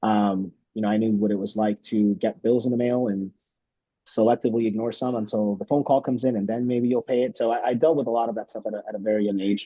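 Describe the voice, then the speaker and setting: Speaking very fast with a Spanish accent, a man keeps a medium pitch and fairly even intonation. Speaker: congressional candidate. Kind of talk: candidate introduction at virtual town hall. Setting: video call. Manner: hesitant, many fillers and repetitions.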